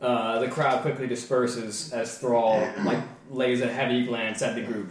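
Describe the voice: The clip is plain reading aloud.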